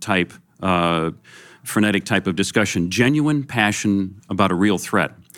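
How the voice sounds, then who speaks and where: A man with a fairly low voice and a normal speaking voice talks at a fairly slow pace with lively intonation, recorded very cleanly against a silent background. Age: 50s. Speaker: podcast host. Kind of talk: interview. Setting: live at a conference event.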